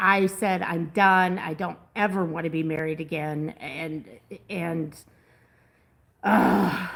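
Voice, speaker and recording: A woman speaks at a very slow pace with long, frequent pauses. Her pitch is fairly low, with ordinary variation and vocal fry. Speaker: host's partner. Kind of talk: casual live stream chat. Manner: laughing.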